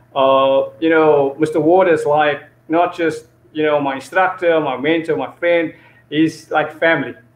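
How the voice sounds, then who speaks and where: In a room with audible echo, a man speaks fairly slowly at a fairly high pitch, his intonation monotone and flat. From South Africa, Cape Town. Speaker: martial arts instructor; guest kenpo instructor. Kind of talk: interview. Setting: video call. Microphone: video call.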